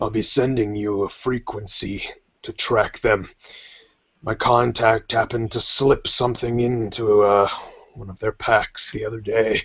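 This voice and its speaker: Putting on a character voice, a man speaks at a medium pitch and moderate pace, raspy and monotone, with flat intonation and big swings in loudness. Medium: actual play. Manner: menacing, curt.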